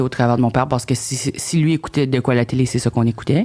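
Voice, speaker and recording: Captured in a very clean recording with a silent background, a woman speaks with a very deep, low pitch and fairly even intonation. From New Brunswick, Acadian. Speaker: comedian, reality TV contestant. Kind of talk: podcast interview. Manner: halting.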